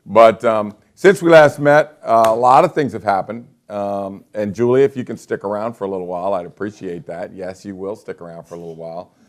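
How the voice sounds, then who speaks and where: In an ordinary speaking voice, a man talks at a fairly quick pace and a fairly low pitch, with lively intonation and big swings in loudness. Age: 60s. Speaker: real estate agent and show host. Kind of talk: casual live-stream talk show. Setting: office studio, live online broadcast.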